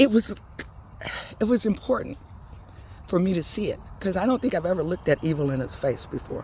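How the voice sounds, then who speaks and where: A woman with a medium pitch talks at a very fast pace, her pitch swinging very widely, broken by long, frequent pauses. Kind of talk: casual talk to camera while walking. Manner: relaxed, chatty.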